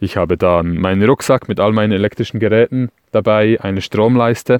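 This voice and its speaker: Fairly even intonation and a moderate pace come through in a dry, close sound with no echo. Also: man. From Switzerland. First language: Swiss German (speaking German). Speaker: van dweller. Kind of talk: recorded tips monologue.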